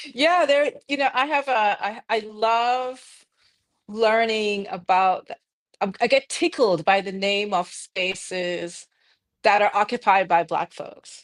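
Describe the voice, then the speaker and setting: Very slow speech with lively intonation on a very clean recording with a silent background. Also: woman, fairly high pitch for a woman. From Jamaica. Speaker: architect. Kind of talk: live-streamed conversation.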